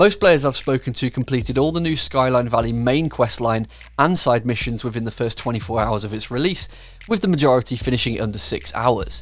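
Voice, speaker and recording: Vocal fry runs through this man's medium-pitched voice, in an English accent. He speaks at a fairly quick pace with ordinary pitch variation. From England. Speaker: gaming YouTuber. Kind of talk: video commentary.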